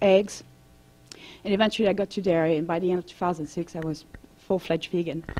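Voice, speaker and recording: A woman speaks with a French accent at a medium pitch. Her intonation stays fairly even. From France. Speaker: vegan advocate and holistic coach. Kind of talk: presentation to an audience.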